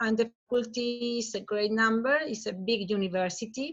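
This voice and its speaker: With a Chilean accent, a woman talks at a moderate pace, with fairly even intonation and a fairly high pitch. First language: Spanish. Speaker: professor. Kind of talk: conference presentation. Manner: halting.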